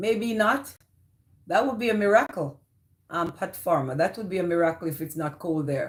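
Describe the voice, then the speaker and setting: A woman with a Jamaican accent at a fairly low pitch, moderate in pace, with lively intonation. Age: 50s. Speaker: live streamer. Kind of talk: casual chat.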